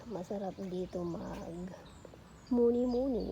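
Over noticeable background noise, a woman talks in a relaxed tone. Her pitch is medium, with ordinary pitch variation. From Batangas, Philippines. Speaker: vlogger, pastor's wife and mother. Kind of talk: casual vlog tour. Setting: outdoors in backyard. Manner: relaxed, conversational.

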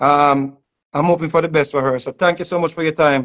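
A man with a Jamaican accent, fairly high-pitched and in monotone, flat intonation, over a quiet background. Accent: Jamaican patois. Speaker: online show host. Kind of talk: casual chat; interview conversation. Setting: video call. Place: home room.

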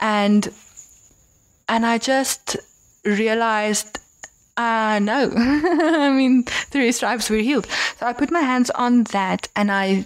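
A woman uses a normal speaking voice, pitched fairly high, with typical rise and fall. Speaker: podcast host. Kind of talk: interview answer.

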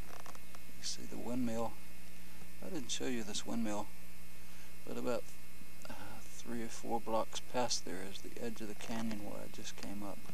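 Over noticeable background noise, a man with a fairly low pitch speaks at a moderate pace, leaving long, frequent pauses, and the sound is dry with no echo. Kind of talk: casual travel narration. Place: open country. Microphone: old recording.

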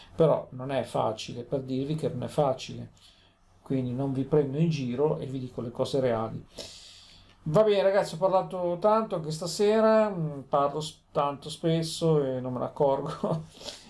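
A man at a fairly high pitch with a plain, everyday voice, at a moderate pace. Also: lively intonation. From Italy, Genoa (Liguria). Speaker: lotto vlogger. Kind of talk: casual vlog monologue. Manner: rambling, repetitive.

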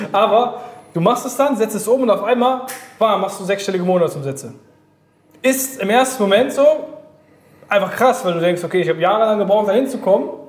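A man's high-pitched voice at a fairly quick pace, with audible room echo. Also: ordinary pitch variation. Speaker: business coach. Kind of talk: interview answer. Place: office.

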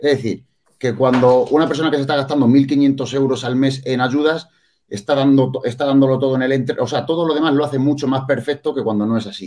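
The tone is dark and mellow, and the intonation stays fairly even. The pace is fairly quick. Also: man. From Andalusia, Spain. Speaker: bodybuilding coach and competitor; bodybuilding coach. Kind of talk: casual panel discussion. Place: home room. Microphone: video call.

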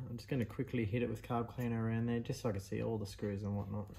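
Speaking at a very fast pace, a man with a fairly low pitch has a dark, mellow tone that is somewhat breathy. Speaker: vintage machinery restorer. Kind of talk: tutorial. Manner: casual, with many fillers.

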